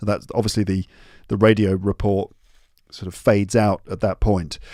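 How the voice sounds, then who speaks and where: A speaker with a British accent comes through with a dry, close sound with no echo on a very clean recording with a silent background. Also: man. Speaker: podcast host, English teacher. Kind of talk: educational podcast, reading story aloud with explanations. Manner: casual, with fillers and hesitations.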